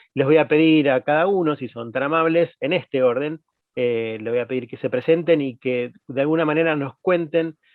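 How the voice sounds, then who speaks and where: A man has an unremarkable speaking voice at a fairly high pitch. He talks at a moderate pace with ordinary pitch variation. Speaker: panel moderator. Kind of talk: panel interview.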